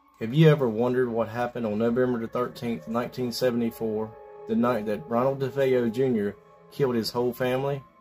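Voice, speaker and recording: Faint music plays in the background. A man talks at a fairly quick pace with ordinary pitch variation. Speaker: paranormal channel host. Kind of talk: storytelling intro. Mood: calm, slightly ominous.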